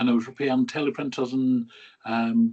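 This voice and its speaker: A man with a Scottish accent, lively in intonation, at a moderate pace. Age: 50s. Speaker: RAF veteran. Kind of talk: interview.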